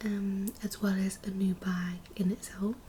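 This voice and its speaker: Over noticeable background noise, a soft-spoken voice moves at a very slow pace in a monotone, flat intonation. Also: woman. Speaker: ASMR creator. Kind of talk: ASMR what's-in-my-bag talk to camera.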